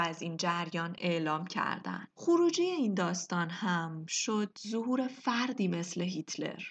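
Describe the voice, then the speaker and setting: A woman speaks at a fairly slow pace with very wide pitch swings against a quiet background. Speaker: podcast host. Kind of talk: scripted narration. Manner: formal.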